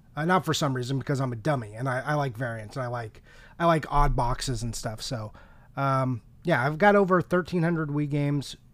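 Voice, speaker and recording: In a very clean recording with a silent background, a man with an unremarkable speaking voice talks at a fairly quick pace and a fairly high pitch with ordinary pitch variation. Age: 40s. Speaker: video game collector and podcaster. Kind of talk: casual chat.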